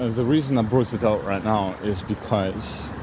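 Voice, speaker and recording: Speaking at a fairly slow pace, a man with a fairly low pitch and relaxed tone keeps his intonation fairly even, with audible room echo and noticeable background noise. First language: not English. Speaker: spiritual vlogger. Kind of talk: reflective monologue. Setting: outdoors on a walk. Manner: relaxed, hesitant with fillers.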